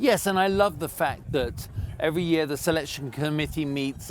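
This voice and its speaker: The speaker has a British accent and lively intonation. The pace is moderate. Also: man. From Britain. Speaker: event livestream commentator. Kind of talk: live commentary.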